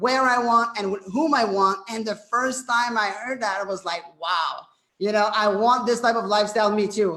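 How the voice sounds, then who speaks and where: A man speaks in a raised, projected voice with a French Canadian accent and a high pitch. His pace is moderate and his intonation fairly even. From Quebec, Canada. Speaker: network marketing presenter. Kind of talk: sales pitch. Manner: halting, many fillers.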